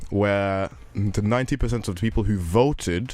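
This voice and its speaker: Fairly low in pitch, a man talks at a fairly quick pace. His intonation stays fairly even. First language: not English. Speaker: podcast host. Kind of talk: casual news discussion podcast. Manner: halting, many self-corrections.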